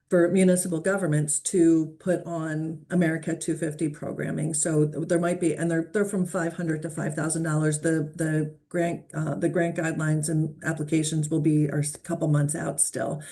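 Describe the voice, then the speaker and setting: Amid noticeable background noise, a woman with a Philadelphia accent and a very deep, low pitch talks in a monotone, flat way at a moderate pace with hardly any pauses. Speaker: community foundation organizer, meeting host. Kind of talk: casual meeting discussion.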